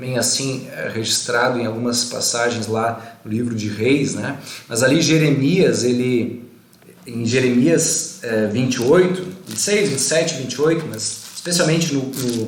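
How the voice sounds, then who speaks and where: A man speaks at medium pitch and a moderate pace with ordinary pitch variation, amid audible room echo and noticeable background noise. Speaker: pastor. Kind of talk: bible study livestream. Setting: Facebook live video.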